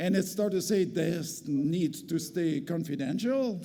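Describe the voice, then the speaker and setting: With lively intonation and a fairly slow pace, the voice carries audible room echo. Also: man. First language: French. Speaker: community health centre executive, award recipient. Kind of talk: award acceptance speech. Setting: stage with audience at gala. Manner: halting, with hesitations and restarts.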